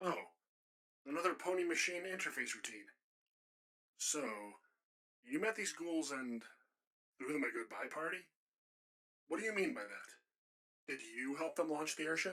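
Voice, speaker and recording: Using a raspy put-on character voice, a man speaks at a moderate pace in a high pitch, with long, frequent pauses. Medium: audio drama. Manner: dry, patient.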